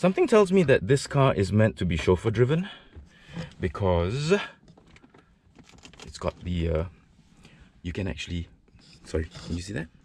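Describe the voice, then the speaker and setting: Light background noise sits behind a man's voice, which comes through dry with no echo. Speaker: car reviewer. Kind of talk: casual walkaround commentary. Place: hall. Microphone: phone near.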